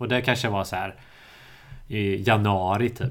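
This man's fairly low voice comes out somewhat breathy, its intonation fairly even. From Sweden, Småland (Ingatorp near Eksjö). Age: 30s. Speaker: podcast host. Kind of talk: casual chat.

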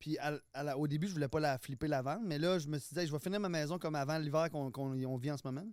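With a Quebec accent, a man speaks at a very fast pace with hardly any pauses, a fairly high pitch, and ordinary pitch variation. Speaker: guest, former reality TV contestant. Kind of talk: casual chat.

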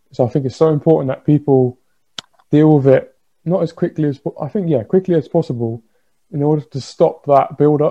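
This man's voice is fairly high, dark, mellow and somewhat breathy. He talks at a moderate pace with fairly even intonation. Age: 20s. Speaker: mental health podcast host. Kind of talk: casual chat.

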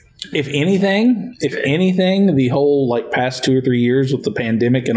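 Noticeable background noise sits behind a man speaking at a fairly quick pace. His medium pitch shows ordinary variation. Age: 30s. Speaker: podcast host and teacher. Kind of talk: casual chat. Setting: studio.

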